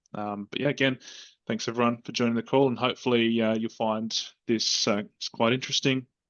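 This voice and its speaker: With an Australian accent, a man talks at a fairly quick pace, his medium-pitched voice monotone and flat. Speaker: software solution consultant. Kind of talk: webinar presentation. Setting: online video call webinar. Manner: hesitant, many fillers.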